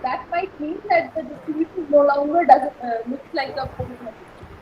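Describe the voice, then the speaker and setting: A woman talks at a fairly quick pace in a soft-spoken, high voice with lively intonation. Noticeable background noise runs behind her. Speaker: university lecturer. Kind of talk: lecture. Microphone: too quiet.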